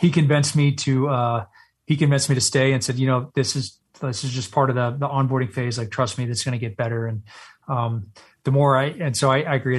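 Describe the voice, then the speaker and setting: A man speaks at a very fast pace in a medium pitch, with an American accent. His voice is somewhat breathy and his intonation fairly even. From Texas. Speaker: Navy SEAL veteran and company CEO. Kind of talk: interview.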